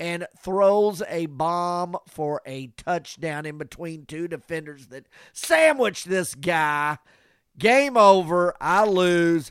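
An animated tone with ordinary pitch variation comes across on a very clean recording with a silent background. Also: man. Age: 60s. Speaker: podcast co-host. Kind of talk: casual sports chat.

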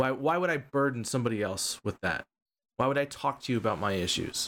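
This man talks at a fairly quick pace with ordinary pitch variation. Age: 40s. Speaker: podcast co-host and streamer. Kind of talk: casual chat. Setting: live stream.

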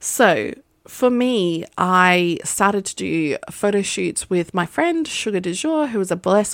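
In a very clean recording with a silent background, a woman with an Australian accent speaks fairly slowly in an animated tone, at medium pitch with ordinary pitch variation. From Australia, partly raised in Las Vegas. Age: 30s. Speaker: podcast host, photographer. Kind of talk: casual monologue. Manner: animated, laughing often.

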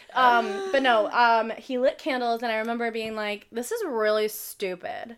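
At a moderate pace and with hardly any pauses, a woman talks with ordinary pitch variation. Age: 30s. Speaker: podcast co-host. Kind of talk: casual chat. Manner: animated.

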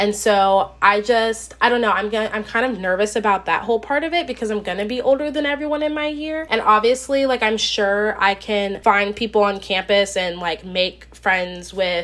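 A woman's medium-pitched, lively voice at a moderate pace, with hardly any pauses and noticeable background noise. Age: 20s. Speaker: podcast host. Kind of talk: casual chat. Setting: at home desk.

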